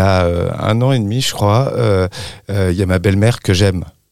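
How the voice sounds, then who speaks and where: A man's plain, everyday voice, fairly low in pitch with ordinary pitch variation, at a moderate pace on a very clean recording with a silent background. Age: 40s. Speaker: parent of premature children, association volunteer. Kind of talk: testimony.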